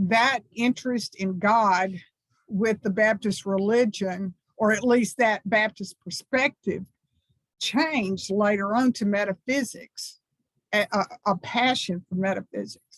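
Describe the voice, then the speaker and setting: A woman with a Southern US accent talks at a fairly slow pace in a medium pitch with ordinary pitch variation, the sound dry and close with no echo. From US South, small textile town. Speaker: minister. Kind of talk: talk to a congregation.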